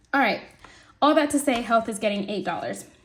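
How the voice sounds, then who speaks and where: A woman speaks with a somewhat breathy voice. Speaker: budgeting video creator. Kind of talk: casual budgeting tutorial. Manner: casual, chatty.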